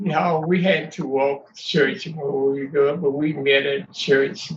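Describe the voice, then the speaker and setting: The man's voice is rather high. His intonation is fairly level. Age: 90s. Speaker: family elder. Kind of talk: family interview. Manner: halting.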